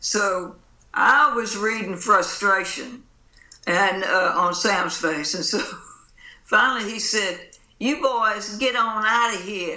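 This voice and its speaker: Very slow speech in a Mississippi accent, broken by long, frequent pauses. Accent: Southern US, Mississippi. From US Mississippi coast. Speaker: blues musician. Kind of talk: casual interview chat.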